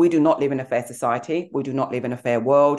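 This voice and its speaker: The voice has a dark, mellow tone. It moves at a fairly quick pace. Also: woman. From England, Nigerian heritage. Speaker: executive coach and author. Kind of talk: interview, conversational.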